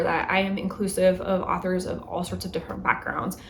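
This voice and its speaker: Noticeable background noise and audible room echo surround a woman's medium-pitched voice. She speaks at a moderate pace. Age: 30s. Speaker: book vlogger. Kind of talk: casual vlog monologue. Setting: home. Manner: chatty, conversational.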